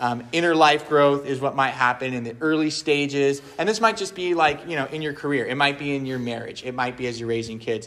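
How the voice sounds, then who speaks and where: This is an unremarkable speaking voice with ordinary pitch variation. It moves at a fairly quick pace with hardly any pauses. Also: man, fairly high pitch for a man. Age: 30s. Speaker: pastor leading a men's ministry session. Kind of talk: talk to a men's group. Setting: live room with audience and slides. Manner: casual with many fillers.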